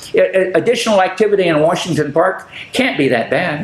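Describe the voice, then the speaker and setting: Over noticeable background noise and audible room echo, a man speaks at a high pitch. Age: 80s+. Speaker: public access TV host. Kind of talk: casual chat. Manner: halting.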